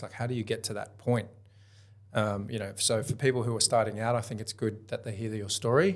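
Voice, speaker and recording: A man with an Australian accent speaks at a medium pitch in a monotone, flat way. Music plays in the background. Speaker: podcast host and buyer's agent. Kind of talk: interview.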